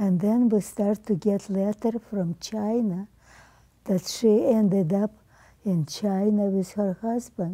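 Against a quiet background, a woman with a medium pitch and a dark, mellow tone speaks at a very slow pace. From Ukraine. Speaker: centenarian interviewee; interviewee. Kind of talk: oral history interview. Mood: somber, recalling hardship. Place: home room.

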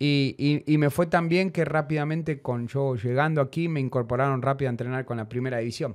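Against a quiet background, a man with a normal speaking voice talks at a fairly quick pace with hardly any pauses, his fairly high pitch showing ordinary pitch variation. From Argentina. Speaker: former footballer; guest. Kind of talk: interview. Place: studio. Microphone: studio mic.

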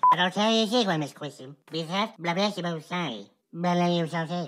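The voice is a cartoonish character voice at a middle pitch. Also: fairly quick pace. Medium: puppet show. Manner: chatty, affectionate, rambling.

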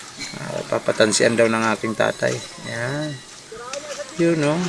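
Amid noticeable background noise, a man speaks at a very slow pace, leaving long, frequent pauses. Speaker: vlogger. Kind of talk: casual vlog narration. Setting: outdoors on a farm field.

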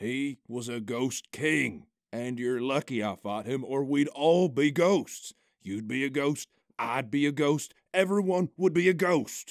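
A man puts on a gruff character voice at a medium pitch. He talks at a fairly slow pace in a very clean recording with a silent background. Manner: blustering, gruff, wounded pride.

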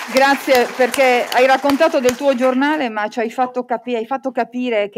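Delivered at a moderate pace, the speech has light background noise behind it. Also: woman. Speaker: journalist and moderator; journalist, moderator. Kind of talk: conference moderation. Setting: stage with audience. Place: hall. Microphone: podium.

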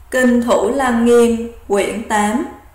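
Very slow speech from a woman at a fairly high pitch, with ordinary pitch variation and noticeable background noise. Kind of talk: Buddhist sutra reading.

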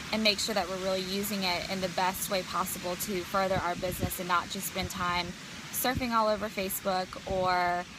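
A woman talks at a fairly quick pace. There is noticeable background noise, and the sound is dry with no echo. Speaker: business coach. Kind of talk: casual vlog chat. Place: garden. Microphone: phone near.

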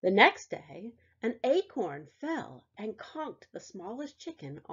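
The speaker reads in an unforced voice.

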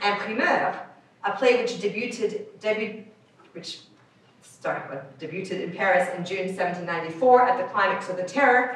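The voice shows big swings in loudness, with strong room echo. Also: woman. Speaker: academic researcher reading a paper; conference presenter. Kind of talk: reading aloud. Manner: fast. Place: meeting room.

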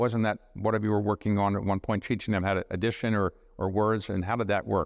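A man talks at a very fast pace in a fairly low, flat monotone, his loudness very even against a quiet background. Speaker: talk show host. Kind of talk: interview questions. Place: stage.

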